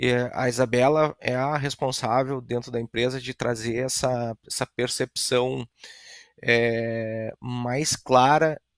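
The speech moves at a fairly slow pace. Its intonation stays monotone and flat. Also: man. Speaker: real estate company director. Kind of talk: casual interview chat.

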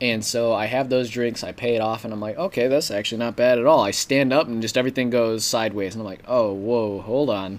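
Speaking at a very fast pace, a man with an American accent keeps his intonation fairly even. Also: medium pitch for a man, hardly any pauses. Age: 20s. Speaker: podcast co-host. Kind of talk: casual chat.

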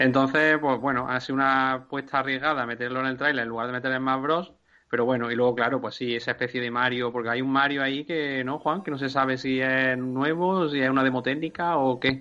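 At a fairly quick pace and with hardly any pauses, a man delivers a bright, sharp, medium-pitched voice in a monotone, flat intonation over a quiet background. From Andalusia, Spain. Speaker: video game podcast panelist. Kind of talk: casual chat.

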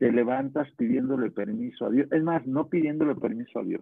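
Using a Mexican accent, a man talks at a moderate pace with ordinary pitch variation. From Mexico, Guadalajara. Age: 40s. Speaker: network marketing distributor, former carpenter. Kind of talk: motivational interview on a live stream.

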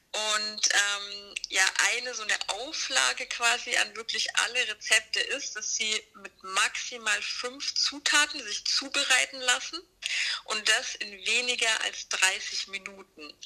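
Through noticeable background noise, a woman with a fairly high pitch speaks at a very slow pace. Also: ordinary pitch variation. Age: 30s. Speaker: designer and author. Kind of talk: casual chat.

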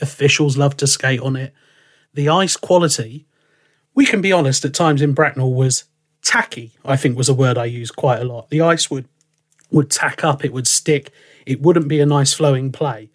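A man speaks with an English accent in a fairly high, somewhat breathy voice. His intonation stays fairly even at a moderate pace. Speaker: ice hockey commentator and podcast host. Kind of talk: casual chat. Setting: remote call.

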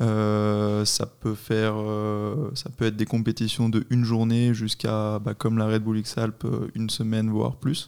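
A man speaks at a fairly slow pace in a medium pitch, with an unremarkable speaking voice and fairly even intonation. The recording is very clean, with a silent background. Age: 20s. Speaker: paragliding instructor and competition athlete. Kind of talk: casual interview.

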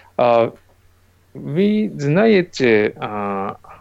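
A man with a Japanese accent speaks with lively intonation. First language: Japanese (speaking Russian). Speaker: comic artist. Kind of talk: interview. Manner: halting.

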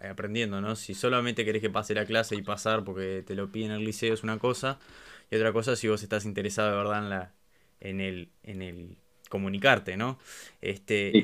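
A man with a fairly low pitch, fairly quick pace and monotone, flat intonation. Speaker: podcast host. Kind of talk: casual chat. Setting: video call.

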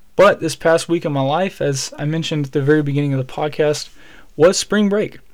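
Speaking with a Southern US accent, a man with a fairly high pitch moves at a fairly quick pace with fairly even intonation. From Alabama. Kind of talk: solo devotional podcast talk.

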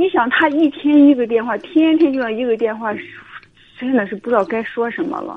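Her voice high and her intonation lively, a woman speaks at a fairly quick pace. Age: 30s. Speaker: caller to advice radio show. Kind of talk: call-in advice conversation.

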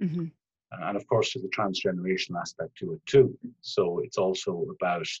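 The sound is dry and close, with no echo. Delivery moves at a moderate pace. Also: man. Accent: Irish. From Ireland. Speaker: family therapist. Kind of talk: interview. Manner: formal.

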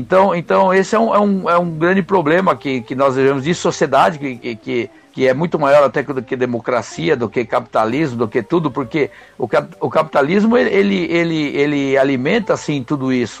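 A man with a fairly high voice talks at a moderate pace, his intonation lively. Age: 50s. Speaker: podcast panelist. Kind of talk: casual debate. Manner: halting, many repetitions.

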